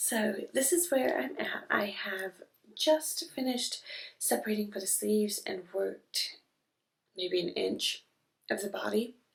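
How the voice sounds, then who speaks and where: Quiet and fairly slow, a woman speaks with vocal fry, very wide pitch swings, and long, frequent pauses. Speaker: knitting vlogger. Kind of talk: casual chat. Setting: on vacation, indoors. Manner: quiet, hushed.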